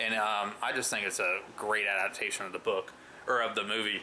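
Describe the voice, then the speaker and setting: A man talks at a moderate pace with ordinary pitch variation. Background noise is noticeable. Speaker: movie reviewer. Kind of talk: casual vlog review. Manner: loud; hesitant, many fillers.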